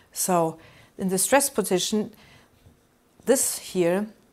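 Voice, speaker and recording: A woman with a German accent speaks in a fairly low voice with ordinary pitch variation, on a very clean recording with a silent background. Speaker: university lecturer. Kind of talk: lecture. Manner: halting.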